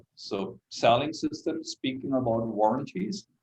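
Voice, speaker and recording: A man with a German accent speaks at a moderate pace and medium pitch, his intonation lively. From Germany. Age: 60s. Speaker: solar company executive. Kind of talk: interview. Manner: halting.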